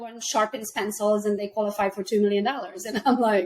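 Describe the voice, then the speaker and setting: Over noticeable background noise, a woman talks at a fairly quick pace. She speaks with a Hungarian accent. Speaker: realtor and entrepreneur. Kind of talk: casual chat.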